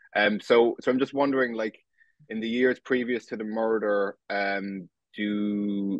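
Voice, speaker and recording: A man's flat, monotone delivery unfolds at a fairly slow pace. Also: fairly low pitch for a man. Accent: Cork. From Ireland, West Cork. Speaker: podcast host. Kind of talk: interview. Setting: sit-down video interview. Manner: halting, many false starts.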